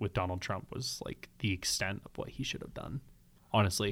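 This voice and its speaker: A man with a fairly low, somewhat breathy voice is heard. He keeps a moderate pace. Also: very clean recording, silent background. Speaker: podcast host. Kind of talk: casual chat.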